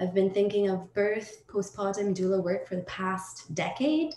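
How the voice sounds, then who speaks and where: A woman with a Trinidadian accent is heard amid audible room echo and light background noise. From Trinidad and Tobago. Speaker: performance artist; panelist. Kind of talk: panel discussion. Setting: video call. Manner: halting, searching for words. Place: home room. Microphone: video call.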